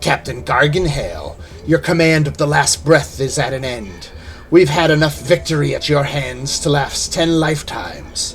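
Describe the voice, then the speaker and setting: Putting on a character voice, a man speaks at a moderate pace and a fairly high pitch, with clear background noise behind him. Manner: sarcastic; dreamy.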